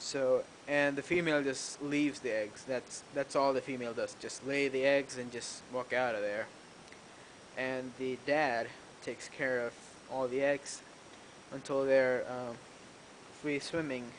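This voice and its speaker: A man speaks at a medium pitch and a fairly slow pace, monotone and flat, with long, frequent pauses and noticeable background noise. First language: not English. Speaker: aquarium hobbyist youtuber. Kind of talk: casual video tour. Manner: hesitant, filler-heavy.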